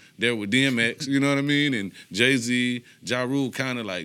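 This man's voice sits at a medium pitch and has a bright, sharp tone. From Detroit, east side. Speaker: rapper. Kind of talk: casual chat.

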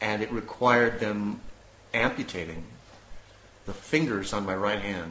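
Audible room echo follows this man as he talks at a fairly slow pace. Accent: American. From US. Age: 50s. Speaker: illness survivor, former DJ and actor. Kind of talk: interview, personal testimony. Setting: at home.

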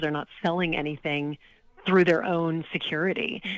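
With an American accent, a woman talks at a fairly quick pace in an ordinary speaking voice, her pitch fairly low. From Louisiana, US South (Lake Charles). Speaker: charity auctioneer and author. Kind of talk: interview.

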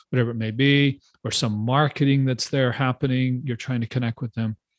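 This man talks at a fairly quick pace in a medium pitch. The sound is dry and close with no echo, over a quiet background. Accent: American. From Texas. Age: 60s. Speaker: pastor and nonprofit consultant. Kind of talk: interview conversation.

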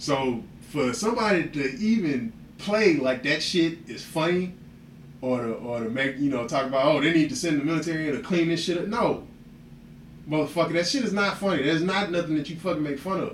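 The delivery is fairly quick and lively in intonation, with audible echo from the room. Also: man, fairly high pitch for a man. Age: 30s. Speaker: podcast host. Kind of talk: casual chat. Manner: animated.

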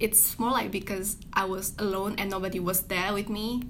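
Audible room echo is present as a woman talks. She has a medium pitch and a moderate pace. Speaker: student. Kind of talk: interview.

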